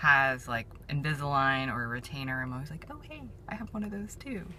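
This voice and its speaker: A woman speaks at a fairly quick pace in a bright, sharp tone. Her pitch is very deep and low. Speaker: vlogger. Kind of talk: casual vlog update. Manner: casual, uses fillers.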